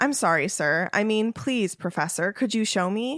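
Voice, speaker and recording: This put-on character voice sounds strained at a moderate pace, on a very clean recording with a silent background. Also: female-sounding voice, medium pitch for a woman. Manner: overly polite, restrained.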